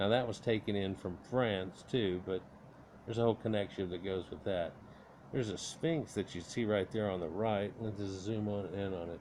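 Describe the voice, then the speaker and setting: Using a normal speaking voice, a man speaks at a moderate pace with fairly even intonation. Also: fairly low pitch for a man. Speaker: history and mystery video creator. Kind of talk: narrated slideshow commentary.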